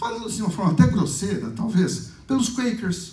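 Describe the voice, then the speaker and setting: A man speaks with a high pitch. There is audible room echo along with noticeable background noise. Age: 60s. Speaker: lecturer. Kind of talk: lecture.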